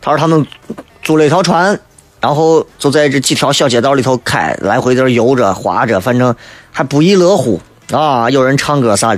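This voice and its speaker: In a Shaanxi accent, a man talks at a moderate pace with a medium pitch, lively intonation and very even loudness. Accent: Shaanxi Mandarin (Xi'an dialect). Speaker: radio talk show host. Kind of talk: radio talk show monologue, humorous. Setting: radio studio broadcast. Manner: animated, humorous, colloquial; toned down, saving his voice.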